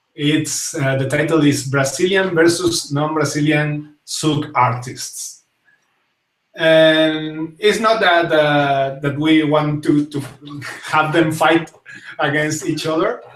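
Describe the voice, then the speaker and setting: In a strong Spanish accent, a man speaks at a fairly high pitch with fairly even intonation. His very slow delivery carries audible room echo. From Spain. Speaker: talk show host and zouk dancer. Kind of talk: casual live talk show. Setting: live stream. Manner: halting, many fillers.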